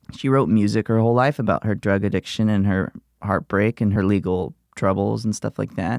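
In a plain, everyday voice with an American accent, a man speaks at a fairly quick pace and fairly low pitch, in a dry, close sound with no echo on a very clean recording with a silent background. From US South, Gulf Shores, Alabama. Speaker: comedian. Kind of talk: casual chat.

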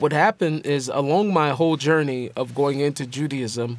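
Using a plain, everyday voice, a man with an American accent speaks at a moderate pace, fairly high in pitch with ordinary pitch variation. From Seattle, US Pacific Northwest. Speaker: rapper. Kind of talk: interview.

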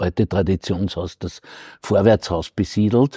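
At a fairly slow pace, a man with a fairly low pitch and a dark, mellow tone speaks with ordinary pitch variation, recorded very cleanly against a silent background with a dry, close sound and no echo. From Lower Austria, Waidhofen an der Ybbs. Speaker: historian. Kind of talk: interview. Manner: halting.

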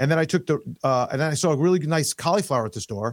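A man with a New York accent and a fairly high pitch talks at a very fast pace with lively intonation. The recording is very clean, with a silent background. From New York (Queens, Long Island). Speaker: investment advisor. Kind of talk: casual interview chat.

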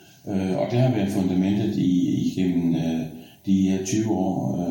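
Very deep and low, a man's voice moves at a very slow pace. Noticeable background noise and audible room echo fill the recording. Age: 60s. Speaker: director of a sailing association. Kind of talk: interview. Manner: hesitant, many filler sounds.

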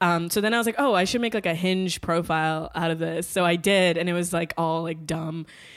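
A woman talks at a fairly quick pace with an American accent, in an unremarkable speaking voice with fairly low pitch. Her intonation is fairly even, she leaves hardly any pauses, and the recording is very clean with a silent background. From Washington DC. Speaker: comedian. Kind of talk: casual chat.

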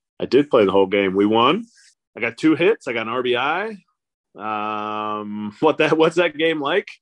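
A man with a normal speaking voice talks at a fairly slow pace, with a medium pitch and lively intonation. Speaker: former baseball catcher and radio broadcaster. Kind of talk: casual interview.

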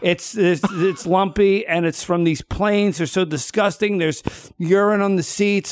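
Speaking at a moderate pace with fairly even intonation, a man with an American accent has a high pitch. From US Northeast, Philadelphia. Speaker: comedian. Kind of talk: casual chat.

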